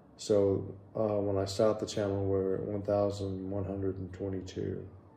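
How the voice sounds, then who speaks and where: Against audible room echo, a man speaks with a fairly low pitch, a dark, mellow tone, and monotone, flat intonation. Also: moderate pace. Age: 60s. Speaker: vlogger. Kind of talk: casual vlog update. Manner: casual, hesitant with fillers.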